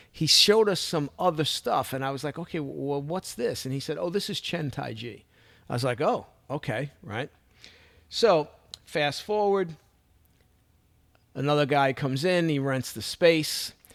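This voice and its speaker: Speech in a Brooklyn accent comes at a moderate pace with long, frequent pauses and ordinary pitch variation, in a very clean recording with a silent background. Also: man, fairly high pitch for a man. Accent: New York (Brooklyn). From Brooklyn, New York. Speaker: martial arts instructor and podcaster. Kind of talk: casual monologue, personal story.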